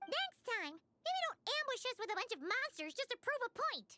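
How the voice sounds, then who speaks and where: A put-on character voice, squeaky and extremely high in pitch. It moves at a moderate pace. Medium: video game. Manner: brash, excitable.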